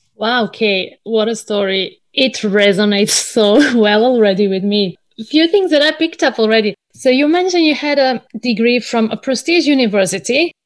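A woman with a plain, everyday voice speaks at a moderate pace, fairly high in pitch, with lively intonation and hardly any pauses. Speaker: podcast host. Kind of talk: interview.

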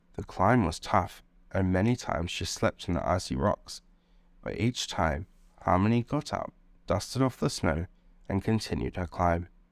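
On a very clean recording with a silent background, a man with a very deep, low pitch, a gentle, warm tone and vocal fry speaks with lively intonation and long, frequent pauses. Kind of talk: children's bedtime story narration. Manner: soft, soothing, unhurried storyteller pacing; gentle, warm, lulling tone.

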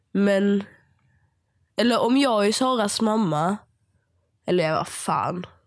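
Delivered at a very slow pace with long, frequent pauses, the speech holds a very even loudness and ordinary pitch variation. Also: woman, medium pitch for a woman. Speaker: podcast co-host. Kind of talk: casual chat.

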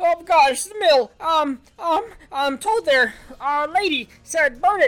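In a put-on character voice, the speaker shouts at a high pitch and a very slow pace. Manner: shouting; stuttering.

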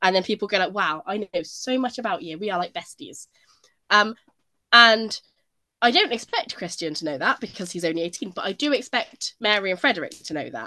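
With a British accent, a woman talks at a fairly quick pace and medium pitch, her tone bright and sharp, in a dry, close sound with no echo. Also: lively intonation. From Britain. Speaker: royal news podcast co-host. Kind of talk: casual chat.

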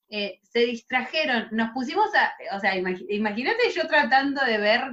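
A woman with a high-pitched voice talks with lively intonation. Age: 30s. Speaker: podcast host. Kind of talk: casual chat.

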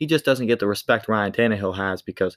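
In a very clean recording with a silent background and a dry, close sound with no echo, a man talks in a normal speaking voice at a fairly quick pace with ordinary pitch variation. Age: 20s. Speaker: sports podcast host. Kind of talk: solo sports commentary podcast. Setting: home studio in bedroom. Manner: casual and conversational.

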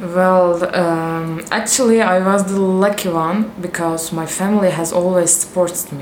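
With a Turkish accent and monotone, flat intonation, someone talks at a fairly slow pace amid audible room echo and noticeable background noise. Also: woman, medium pitch for a woman. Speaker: professional volleyball player. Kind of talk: interview. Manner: halting, with fillers.

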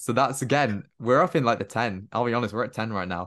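In a Welsh accent, a man talks at a very fast pace and a medium pitch with ordinary pitch variation, over a quiet background. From Wales, Cardiff. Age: young. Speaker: podcast host. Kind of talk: casual chat.

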